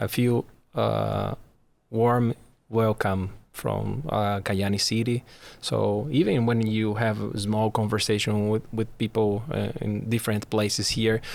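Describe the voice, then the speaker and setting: With a Portuguese accent, a man speaks at a fairly low pitch. His intonation is fairly even. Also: fairly slow pace. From Brazil. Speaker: immigrant resident. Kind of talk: podcast interview. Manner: halting.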